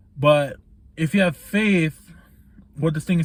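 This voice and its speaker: Delivery comes at a fairly slow pace. There is a somewhat breathy quality to the voice. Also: man. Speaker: vlogger reviewing a book. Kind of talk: casual book recap monologue. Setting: laundry room, in the dark. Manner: monotone; hesitant, many fillers.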